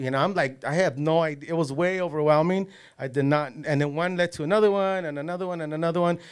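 A man with an American accent at a very fast pace, fairly even intonation, and a quiet background. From Los Angeles area. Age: 40s. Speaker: casting and extras agency owner, former gang member; podcast guest. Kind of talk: casual interview. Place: studio. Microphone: studio mic.

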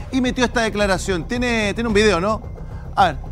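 Over faint music in the background, a man talks at a very fast pace in a high pitch, his tone animated with ordinary pitch variation. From Chile. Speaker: talk show host. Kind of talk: panel debate. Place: studio. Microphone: lapel.

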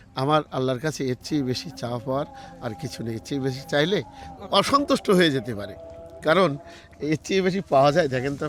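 A man's fairly high-pitched voice is heard over noticeable background noise. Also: lively intonation. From Bangladesh, Jessore district. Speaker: orchard owner. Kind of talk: interview.

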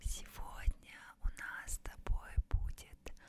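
A woman whispering at a very slow pace. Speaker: ASMR content creator. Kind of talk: ASMR relaxation video, close whisper. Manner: whispered, soft. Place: home room. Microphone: studio mic.

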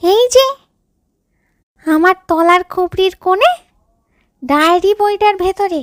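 A woman uses a put-on character voice, extremely high in pitch. She delivers it at a fairly slow pace. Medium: read story. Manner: anxious, urgent.

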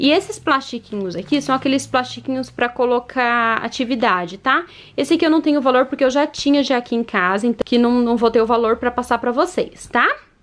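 A woman speaks in a high, animated voice. Her pitch varies in an ordinary way. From Curitiba, Paraná, southern Brazil; Paraná, Brazil. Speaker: mom vlogger. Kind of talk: vlog show-and-tell. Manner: chatty, animated. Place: home room. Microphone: phone near.

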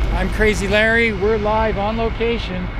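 Noticeable background noise sits behind a man speaking in a dry sound with no echo. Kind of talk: on-location commentary. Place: street. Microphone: phone near.

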